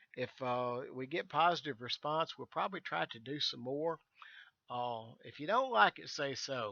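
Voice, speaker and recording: A man with a Southern US accent, bright and sharp in tone, with lively intonation at a moderate pace. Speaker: virtual airline staff, flight sim instructor. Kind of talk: tutorial. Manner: casual, halting with fillers.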